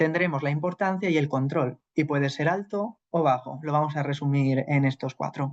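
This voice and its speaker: Recorded dry and close with no echo, a man's fairly high voice holds fairly even intonation. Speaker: psychologist teaching a class. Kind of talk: lecture.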